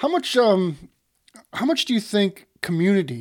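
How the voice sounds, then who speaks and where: Captured in a very clean recording with a silent background, a man has an unremarkable speaking voice with ordinary pitch variation. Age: 50s. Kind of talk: casual chat.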